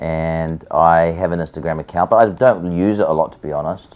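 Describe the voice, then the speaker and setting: With a New Zealand accent, a man speaks at a moderate pace in a very deep, low pitch. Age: 40s. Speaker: musician. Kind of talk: casual chat. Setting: hair salon chair during a haircut.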